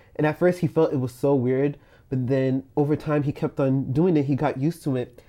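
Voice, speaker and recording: A normal speaking voice from a man, medium-pitched, with fairly even intonation and a quiet background. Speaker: communications student. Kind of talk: religious discussion.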